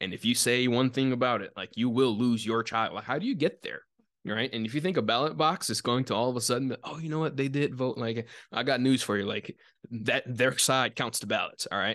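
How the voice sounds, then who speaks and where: A man at medium pitch, fairly quick pace and ordinary pitch variation, against a quiet background. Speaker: podcast host. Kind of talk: casual podcast chat. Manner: fast talker; excited, animated.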